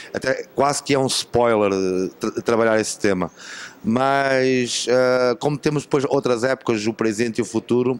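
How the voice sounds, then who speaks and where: A man speaks with a European Portuguese accent. His intonation stays fairly even. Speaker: film director. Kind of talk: interview. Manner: halting.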